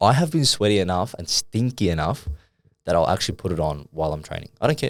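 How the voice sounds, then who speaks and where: A man's very deep, low voice, loud and very fast with an Australian accent and very wide pitch swings, on a very clean recording with a silent background. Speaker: fitness coach and podcast co-host. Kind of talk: casual chat. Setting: studio.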